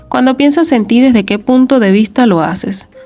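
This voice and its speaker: A woman speaks at a moderate pace with lively intonation over noticeable background noise. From Venezuela. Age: 30s. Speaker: self-help podcaster. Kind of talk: reflective monologue podcast.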